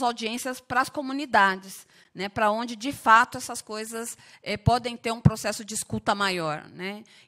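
A woman's bright, sharp voice at a fairly high pitch, with fairly even intonation, a moderate pace, and a quiet background. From Osasco north zone, São Paulo. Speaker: union leader and party official. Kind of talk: public hearing speech. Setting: council chamber. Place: hall. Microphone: podium.

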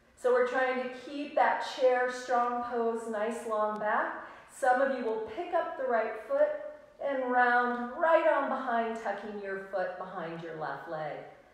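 A high-pitched woman at a very slow pace, with lively intonation and strong room echo. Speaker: yoga instructor. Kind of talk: live-streamed guided yoga class, cueing poses and breaths in a calm, instructional tone. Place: home room. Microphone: camera far.

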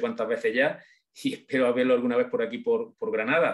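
The man talks at a fairly quick pace, and the background is quiet. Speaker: audience member. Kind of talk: casual spoken thanks and remarks. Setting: video call. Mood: warm, emotional, grateful. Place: home room. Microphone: video call.

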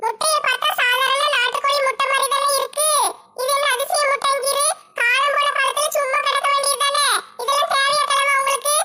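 A woman in a put-on character voice, extremely high in pitch, monotone and flat, at a moderate pace. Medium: comedy sketch. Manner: sharp, scolding.

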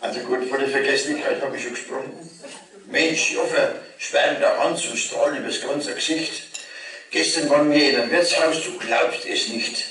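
Spoken at a moderate pace in a Franconian accent, the voice carries audible room echo over light background noise. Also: man. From Lower Franconia. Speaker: cabaret performer. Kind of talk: dialect cabaret performance. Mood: jovial, comic. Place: hall. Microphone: camera far.

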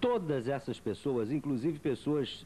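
Fairly slow speech with a dark, mellow tone sits over light background noise. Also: man. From Rio de Janeiro state, Brazil. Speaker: journalist interviewer. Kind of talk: interview. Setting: at guest's home. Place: home room. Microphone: handheld.

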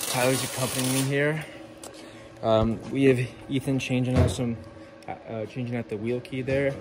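Noticeable background noise runs throughout. The talking goes at a fairly quick pace. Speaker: car hobbyist vlogger. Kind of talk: casual vlog chat. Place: street. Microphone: phone near.

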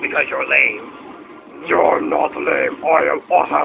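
A man at a fairly slow pace, with clear background noise. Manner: arrogant, angry.

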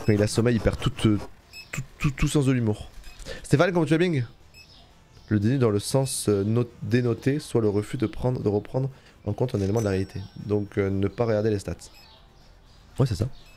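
Backed by music, a man speaks at a medium pitch. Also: ordinary pitch variation. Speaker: Twitch streamer, gamer. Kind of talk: casual live-stream gaming chat. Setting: live stream, home. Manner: casual, slangy, chatty with viewers.

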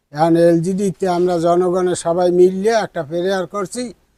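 A man's high-pitched voice, dark and mellow in tone, with fairly even intonation and a dry, close sound free of echo. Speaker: local resident. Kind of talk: street interview. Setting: outdoors.

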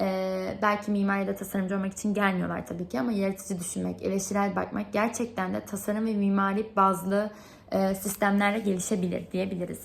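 At a moderate pace, a woman talks in a medium pitch with a somewhat breathy voice. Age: 20s. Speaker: product designer applying for instructor job. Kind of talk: video application monologue; role-play reply to a parent.

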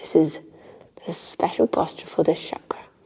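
A woman speaks with an English accent. Her tone is calm and gentle. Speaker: yoga teacher. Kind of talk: guided yoga class instruction. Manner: calm, gentle. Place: home room.

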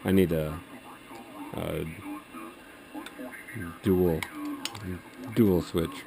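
A man with a low pitch and a dark, mellow tone talks at a very slow pace with vocal fry and fairly even intonation over faint background noise.

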